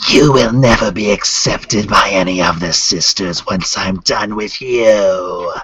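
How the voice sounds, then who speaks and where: Fairly slow delivery in a put-on character voice. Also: man, fairly low pitch for a man. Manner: screeching, threatening.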